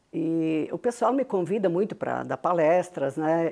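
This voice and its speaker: In a dark, mellow tone, a woman talks over a quiet background. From southern Brazil, Farroupilha, Rio Grande do Sul. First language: Venetian Italian (speaking Portuguese). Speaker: business founder. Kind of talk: TV interview.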